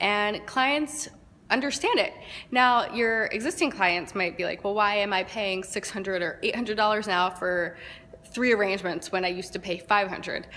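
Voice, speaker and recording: Background noise is noticeable here. A woman speaks at a medium pitch. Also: ordinary pitch variation, moderate pace. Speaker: florist business owner. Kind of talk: casual talk to camera.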